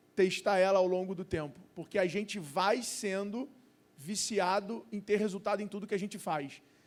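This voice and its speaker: At a moderate pace, a man talks with a high pitch. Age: 30s. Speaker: entrepreneur and investor. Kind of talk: panel discussion.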